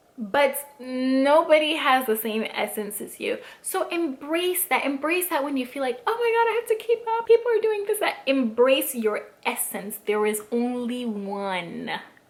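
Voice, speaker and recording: Amid noticeable background noise, a woman speaks fairly slowly at a high pitch in an animated tone, with very wide pitch swings and hardly any pauses. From Africa. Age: 20s. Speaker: lifestyle vlogger. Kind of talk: casual advice vlog.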